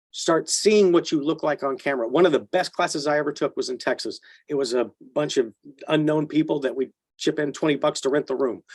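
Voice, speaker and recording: Here is an ordinary speaking voice from a man, fairly high in pitch with ordinary pitch variation. He goes at a fairly quick pace, and the sound is dry and close with no echo. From Texas. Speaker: actor. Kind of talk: interview answer.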